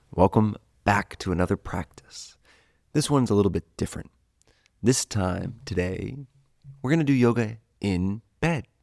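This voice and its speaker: A soft-spoken man with a fairly low pitch and a gentle tone talks at a moderate pace, with lively intonation and long, frequent pauses. The sound is dry and close with no echo, on a very clean recording with a silent background. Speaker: yoga teacher. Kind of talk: guided yoga class. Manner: soft-spoken, gentle.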